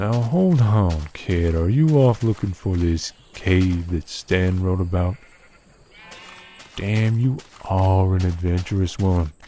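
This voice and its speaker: In a put-on character voice, a man speaks gruffly at a very deep, low pitch, fairly slowly, with ordinary pitch variation and long, frequent pauses. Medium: machinima. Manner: folksy, gruff.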